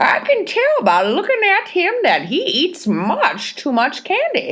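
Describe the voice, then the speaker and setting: A woman does a put-on character voice at an extremely high pitch, speaking at a fairly slow pace with very even loudness and very wide pitch swings. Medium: read story. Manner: fussy, deliberate.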